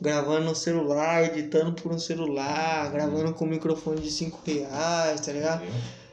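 Speaking in a flat monotone at a moderate pace with hardly any pauses, a man with a fairly high pitch comes through over noticeable background noise. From Brazil, São Paulo (city centre). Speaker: podcast host. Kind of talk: casual chat.

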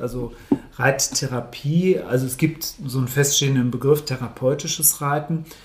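A man speaks at a fairly high pitch and a moderate pace. His intonation is fairly even, and background noise is noticeable. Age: 50s. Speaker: coach. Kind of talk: casual chat. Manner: halting.

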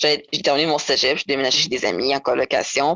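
Recorded with a dry, close sound and no echo, a woman speaks at a moderate pace with fairly even intonation. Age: 20s. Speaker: former foster youth, nursing student. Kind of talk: testimony. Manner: halting.

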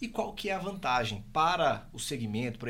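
Fairly quick in pace, a man speaks at a fairly high pitch with vocal fry and lively intonation. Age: 30s. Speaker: podcast host. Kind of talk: interview.

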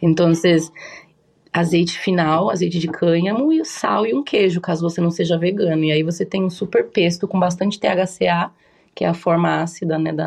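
A woman talks at a moderate pace in a fairly low pitch with fairly even intonation. Hers is an ordinary speaking voice. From Japan (raised there from early childhood). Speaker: cannabis chef. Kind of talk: casual interview chat.

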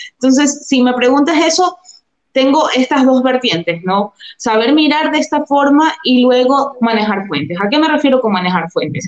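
At a moderate pace, a woman speaks in a high voice with lively intonation and very even loudness. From Ecuador, Durán near Guayaquil. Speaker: journalist. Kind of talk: interview.

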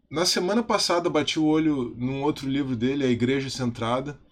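In quiet surroundings, a man's medium-pitched voice shows ordinary pitch variation. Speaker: video channel host, church youth teacher. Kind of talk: spoken video tribute monologue. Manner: casual with filler hesitations.

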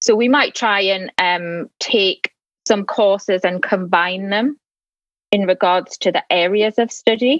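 A woman speaks at a very even loudness. The sound is dry and close, with no echo. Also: medium pitch for a woman, ordinary pitch variation, fairly slow pace. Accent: northeast English. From northeast England. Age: 40s. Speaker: mature international student, new podcast host. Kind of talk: casual interview.

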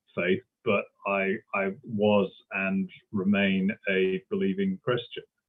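A man with a British accent. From Britain. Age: 40s. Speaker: history professor. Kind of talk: interview. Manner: halting, many fillers and repetitions.

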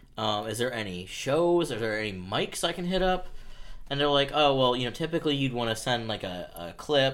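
A man speaks in a normal speaking voice, medium in pitch, with an American accent, lively intonation and a fairly quick pace. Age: 30s. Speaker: comedian. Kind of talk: casual chat.

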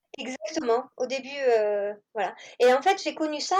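A woman's high-pitched voice rises and falls in very wide pitch swings. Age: 40s. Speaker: home-schooling mother. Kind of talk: interview.

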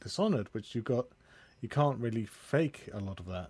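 Speaking at a fairly quick pace, a man with medium pitch has an unremarkable speaking voice. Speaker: podcast host. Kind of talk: casual interview chat.

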